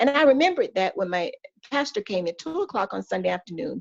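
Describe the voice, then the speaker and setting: With an American accent, a woman speaks at a fairly quick pace, her pitch swinging very widely in a dry, close recording with no echo. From US South, Georgia. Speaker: pastor's wife sharing her testimony. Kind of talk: testimony. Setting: podcast interview.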